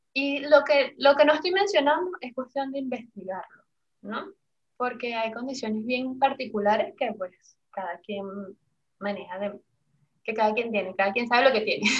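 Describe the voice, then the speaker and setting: A high-pitched woman's voice with lively intonation, big swings in loudness, and long, frequent pauses. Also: moderate pace. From Venezuela, Caracas. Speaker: essential oils seller and entrepreneur. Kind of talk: interview.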